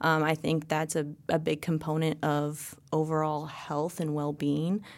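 On a very clean recording with a silent background, a woman speaks very slowly in a very deep, low voice with monotone, flat intonation. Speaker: health and wellness coach. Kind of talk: interview.

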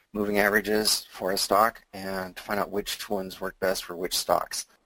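A man talks at a fairly low pitch. His intonation is monotone and flat. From US Pacific Northwest, Seattle. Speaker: retired software engineer turned options trader. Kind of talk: interview with slide presentation. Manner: hesitant, many fillers.

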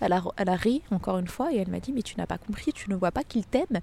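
Speaking at a very fast pace, a woman with a medium pitch has a dark, mellow tone and ordinary pitch variation. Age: 30s. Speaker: English teacher. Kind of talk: testimony. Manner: hesitant, with fillers and repetitions.

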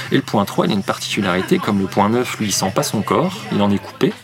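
Over noticeable background noise, a man speaks very fast in a fairly low pitch. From France, Nancy (Lorraine). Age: 30s. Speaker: therapist and enneagram coach. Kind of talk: casual interview. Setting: café.

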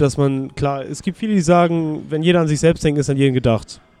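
Music runs in the background behind a man's voice. He speaks at a moderate pace and a fairly high pitch. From northern Germany, near Bremen. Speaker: amateur American football player. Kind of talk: interview. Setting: restaurant by the river.

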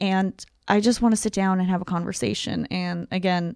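A woman with a normal speaking voice talks at a medium pitch with ordinary pitch variation on a very clean recording with a silent background. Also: dry, close sound with no echo. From Ukraine, later Tucson, Arizona. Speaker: comedian. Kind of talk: casual chat.

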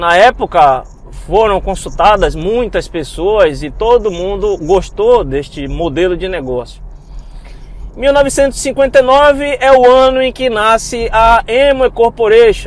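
A man speaks very slowly in a high voice with lively intonation over noticeable background noise. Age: 30s. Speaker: geoscience researcher and network-marketing entrepreneur. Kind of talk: motivational monologue podcast.

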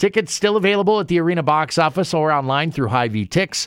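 A very clean recording with a silent background, its speech at a fairly quick pace. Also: man. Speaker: radio host. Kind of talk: radio interview. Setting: studio.

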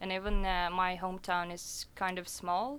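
This woman has a Russian accent and a bright, sharp tone at a medium pitch. Her delivery is fairly slow, with monotone, flat intonation. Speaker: DJ. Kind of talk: radio interview. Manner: hesitant, many fillers.

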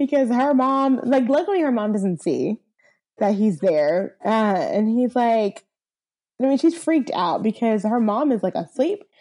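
Against a quiet background, a woman with a fairly high pitch and a dark, mellow tone speaks at a fairly slow pace, with very wide pitch swings and very even loudness. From US South. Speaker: podcast co-host. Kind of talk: casual chat.

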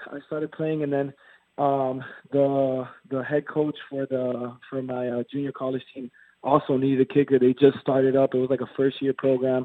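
A monotone, flat delivery at a moderate pace with an American accent. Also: man, medium pitch for a man. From Miami, Florida. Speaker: college football kicker, draft prospect. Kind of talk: casual interview.

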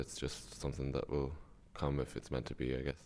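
With a northwest Irish accent, a man speaks in a very deep, low pitch, with vocal fry and monotone, flat intonation. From Ireland, Sligo. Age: 20s. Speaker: university student. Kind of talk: radio interview. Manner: halting, many fillers and repetitions.

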